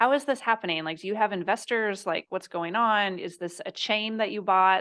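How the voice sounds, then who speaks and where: A woman's voice, an ordinary speaking voice, with ordinary pitch variation at a moderate pace against a quiet background. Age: 30s. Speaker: business coach and entrepreneur. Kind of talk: interview.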